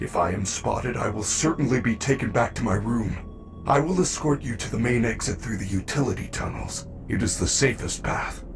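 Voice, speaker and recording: A man's put-on character voice at a medium pitch, moderate pace and hardly any pauses, over loud music in the background. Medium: video game. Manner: formal, polite, reassuring.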